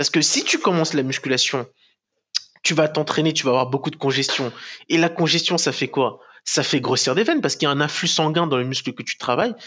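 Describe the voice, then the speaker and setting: At a fairly quick pace, a man speaks with ordinary pitch variation against a quiet background. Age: 20s. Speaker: professional bodybuilder; podcast guest. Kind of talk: casual interview. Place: home room. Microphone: headset.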